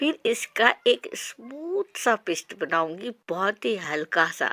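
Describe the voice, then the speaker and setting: A woman's voice, fairly high in pitch, swings very widely up and down. The tone is bright and sharp, and the sound is dry and close with no echo. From Odisha, India. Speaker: cooking channel host. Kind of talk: cooking tutorial. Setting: home kitchen on a veranda.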